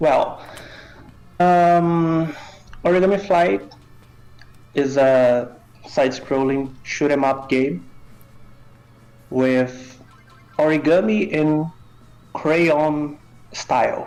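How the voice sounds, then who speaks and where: With music playing behind him and audible room echo, a man with a fairly high voice and a Brazilian accent speaks very slowly at a very even loudness, leaving long, frequent pauses. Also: ordinary pitch variation. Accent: Brazilian, non-native English. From North Brazil. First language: Portuguese. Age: 20s. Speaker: indie game developer. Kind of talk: interview. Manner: hesitant, many fillers.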